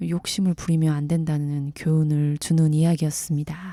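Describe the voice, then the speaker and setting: A dark, mellow, somewhat breathy voice moves at a fairly slow pace in a calm, gentle tone. The recording is very clean with a silent background. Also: woman. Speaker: storyteller. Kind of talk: sleep story.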